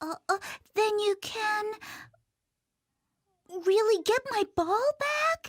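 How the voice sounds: This cartoonish character voice sits at an extremely high pitch. It goes at a very slow pace, with long, frequent pauses.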